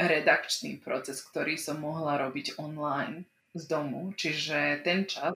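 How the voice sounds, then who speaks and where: With a non-native accent, a woman speaks in a very deep, low voice that has a bright, sharp tone and fairly even intonation. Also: fairly slow pace. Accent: non-native-sounding Slovak. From Slovak minority in Vojvodina, Serbia. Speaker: communications expert. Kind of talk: casual interview.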